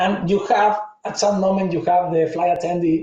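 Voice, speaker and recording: Speaking in a strong Argentine accent, a man uses a high pitch and fairly even intonation. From Argentina. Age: 40s. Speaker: tech conference speaker. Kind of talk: conference talk.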